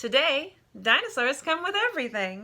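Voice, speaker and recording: A female-sounding put-on character voice, high in pitch, with very wide pitch swings at a moderate pace. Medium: read story.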